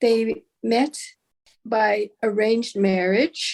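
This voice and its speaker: The speech comes at a very slow pace, in a Canadian accent. Its intonation is monotone and flat. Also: woman. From Canada, Okanagan, British Columbia. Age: 70s. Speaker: retired writer and storyteller. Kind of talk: casual chat. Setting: video call. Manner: halting.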